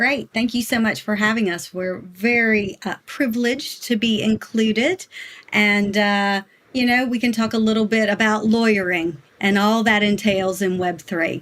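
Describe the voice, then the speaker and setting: Here is a woman with an American accent. Her pitch sits fairly high, and her intonation stays fairly even. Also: moderate pace. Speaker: lawyer, general counsel. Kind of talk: podcast interview.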